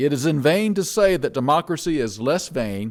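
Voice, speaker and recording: In a very clean recording with a silent background, a man with a Southern US accent speaks fairly slowly at a fairly high pitch. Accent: Southern American. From North Carolina, USA. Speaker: minister and psychologist. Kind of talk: church sermon.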